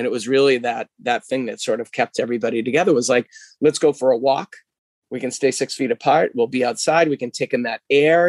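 Recorded dry and close with no echo, a man with an unremarkable speaking voice talks at a fairly quick pace with ordinary pitch variation. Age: 40s. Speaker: physical therapist and gym owner. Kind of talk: interview.

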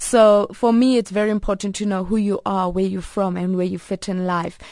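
A woman with a South African accent at a moderate pace, dry and close with no echo against a quiet background. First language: Afrikaans. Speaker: advert actress and multilingual speaker. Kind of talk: radio interview. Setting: radio studio.

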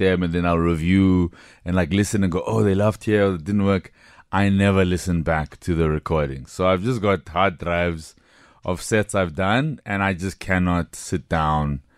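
A man with a very deep, low pitch, ordinary pitch variation and a moderate pace in a very clean recording with a silent background. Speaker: stand-up comedian and writer. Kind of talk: radio interview.

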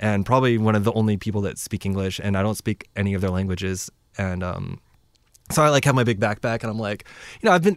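A man talks at a very fast pace and a fairly low pitch on a very clean recording with a silent background. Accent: American. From Washington State (Lynnwood, Seattle area). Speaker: musician and traveler. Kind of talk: casual chat. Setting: studio.

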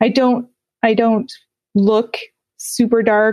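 Dry and close with no echo, a woman in a Utah accent speaks at a fairly slow pace. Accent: American, Utah. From rural Utah, US. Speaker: podcast host. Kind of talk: interview.

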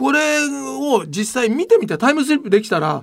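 A man talks at a fairly quick pace in an extremely high pitch with big pitch swings. His tone is fairly bright on a very clean recording with a silent background.

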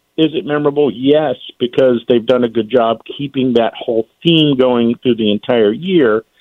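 With an American accent and a normal speaking voice, a man talks at a moderate pace with hardly any pauses, his medium pitch showing ordinary variation. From Lynchburg, Virginia. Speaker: marketing and advertising expert, restaurant owner. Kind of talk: casual radio interview.

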